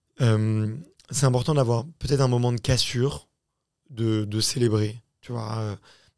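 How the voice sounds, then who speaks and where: Fairly slow and with long, frequent pauses, a man speaks at medium pitch. His intonation is fairly even, and the recording is very clean with a silent background. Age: 30s. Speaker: podcast host and founder. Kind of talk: casual chat. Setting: studio.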